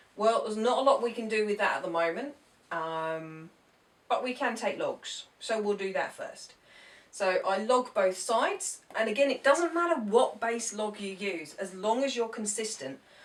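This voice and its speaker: With a normal speaking voice, a woman moves at a moderate pace, her intonation lively and her pitch fairly high. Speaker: maths teacher. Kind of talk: tutorial.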